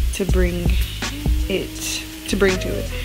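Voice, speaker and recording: A woman speaks over loud background music. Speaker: college student vlogger. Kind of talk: casual vlog chat. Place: kitchen. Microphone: phone near.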